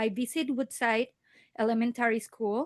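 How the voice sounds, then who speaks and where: A woman with a Spanish accent speaks at a moderate pace in a high voice, recorded dry and close with no echo against a quiet background. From Mexico. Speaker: parent speaking at public comment. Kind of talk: public comment at board meeting. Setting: school board meeting.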